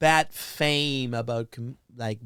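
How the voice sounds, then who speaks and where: A man with a Spanish accent speaks with fairly even intonation on a very clean recording with a silent background. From Venezuela. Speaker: stand-up comedian. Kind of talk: casual chat. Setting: studio. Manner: halting.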